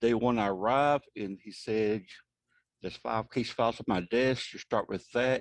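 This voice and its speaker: The sound is dry and close with no echo over a quiet background. A man speaks in a plain, everyday voice at medium pitch with ordinary pitch variation. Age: 60s. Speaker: insurance fraud investigator. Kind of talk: presentation. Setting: video call.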